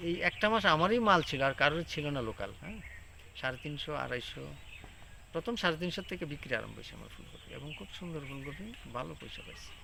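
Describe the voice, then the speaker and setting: Fairly high-pitched for a man, a plain, everyday voice carries lively intonation and big swings in loudness. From Tripura, India. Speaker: vegetable farmer. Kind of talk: field interview.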